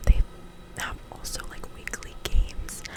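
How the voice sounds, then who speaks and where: A woman is whispering at a fairly slow pace amid noticeable background noise. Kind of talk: ASMR whisper ramble to camera. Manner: whispered, soft-spoken, slow.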